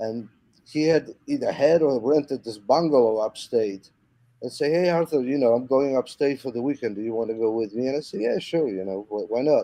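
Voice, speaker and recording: A man's dark, mellow voice at medium pitch in a Polish accent, fairly quick, with ordinary pitch variation. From Poland, Warsaw. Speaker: musician. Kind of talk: casual interview chat. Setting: video call live stream. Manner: halting, many repetitions.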